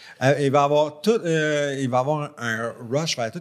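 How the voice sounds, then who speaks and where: A man speaks with a Quebec accent. The recording is very clean, with a silent background. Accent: Québécois French. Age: 40s. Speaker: podcast co-host. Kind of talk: casual chat.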